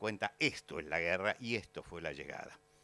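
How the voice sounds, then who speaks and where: A man with a fairly low pitch speaks at a moderate pace in a bright, sharp tone with lively intonation, on a very clean recording with a silent background. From Argentina. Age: 70s. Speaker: pastor. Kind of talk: lecture. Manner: hesitant fillers (eh, este).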